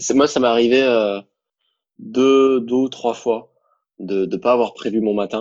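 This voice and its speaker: A man speaks at a very slow pace with long, frequent pauses. The background is quiet. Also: medium pitch for a man, fairly even intonation. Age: 20s. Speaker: young entrepreneur, digital marketing. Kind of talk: casual interview, testimony.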